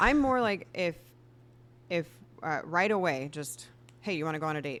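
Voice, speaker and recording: A woman talks with a plain, everyday voice. Her intonation is lively and her pace moderate. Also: fairly low pitch for a woman. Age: 40s. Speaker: photographer and business owner. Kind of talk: casual chat.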